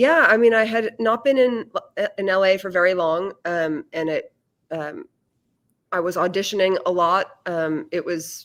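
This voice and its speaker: Speaking at a fairly slow pace, a woman with an American accent uses an ordinary speaking voice, a medium pitch and lively intonation. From Massachusetts. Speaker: actress and audiobook narrator. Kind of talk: casual interview.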